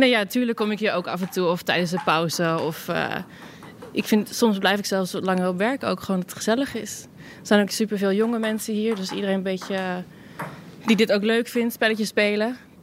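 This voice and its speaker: A woman has an ordinary speaking voice at a medium pitch. She talks at a fairly quick pace with fairly even intonation. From Netherlands. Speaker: tech support employee. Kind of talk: casual interview. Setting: office, later a pub.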